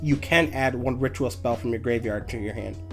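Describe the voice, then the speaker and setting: A man is speaking. Music plays in the background. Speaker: card game content creator. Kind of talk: casual talk to camera. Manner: hesitant, stumbling over words.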